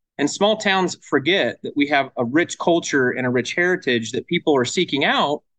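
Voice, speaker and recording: A man speaks in an American accent with a fairly high pitch. His pace is moderate, with hardly any pauses. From Nebraska, US Midwest. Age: 40s. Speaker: economic developer and brewery owner. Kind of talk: interview.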